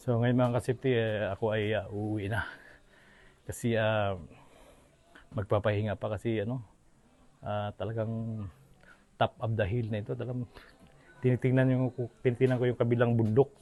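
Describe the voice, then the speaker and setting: A man with a dark, mellow tone speaks with long, frequent pauses. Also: medium pitch for a man, fairly even intonation, moderate pace. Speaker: travel vlogger. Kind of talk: casual vlog narration. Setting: outdoors, hilltop cave. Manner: soft-spoken, hushed inside cave.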